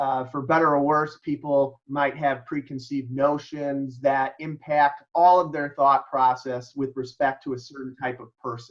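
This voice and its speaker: A man with a Chicago accent speaks at a fairly high pitch and a moderate pace. His intonation is monotone and flat, while his loudness swings widely. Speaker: mediator and lawyer. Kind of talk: presentation. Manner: halting, many fillers.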